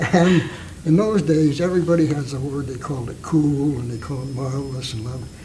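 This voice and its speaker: Fairly high-pitched male speech with an American accent, ordinary pitch variation and big swings in loudness at a fairly quick pace, plus audible room echo and noticeable background noise. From Napa, California. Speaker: war veteran and longtime local resident. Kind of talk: oral history interview.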